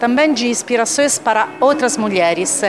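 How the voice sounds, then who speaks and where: A woman's fairly high voice with an Italian accent, lively intonation and a fairly slow pace, over noticeable background noise. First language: Italian (speaking Portuguese). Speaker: corporate executive. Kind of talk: award speech.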